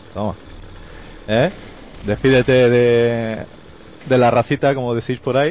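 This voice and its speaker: A man with a Castilian accent speaks fairly slowly with long, frequent pauses, in a dry, echo-free recording with light background noise. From Spain. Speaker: gaming youtuber. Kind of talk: casual chat. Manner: animated.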